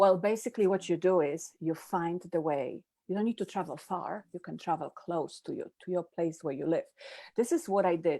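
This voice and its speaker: In a Polish accent, a woman speaks with a fairly low pitch, a dark, mellow tone and ordinary pitch variation on a very clean recording with a silent background. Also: moderate pace. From Poland. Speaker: happiness coach, summit presenter. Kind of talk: live-stream interview.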